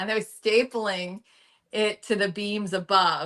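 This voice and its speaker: An American accent marks this voice. Its tone comes across bright and sharp. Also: woman. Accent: slight South Jersey, mostly trained out. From South Jersey, US. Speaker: news anchor. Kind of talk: casual podcast interview.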